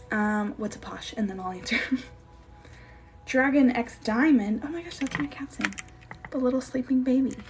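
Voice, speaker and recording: With long, frequent pauses and big swings in loudness, a high-pitched woman speaks with ordinary pitch variation over noticeable background noise. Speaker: gaming streamer. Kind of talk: live stream Q&A. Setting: live stream. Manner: fast; animated.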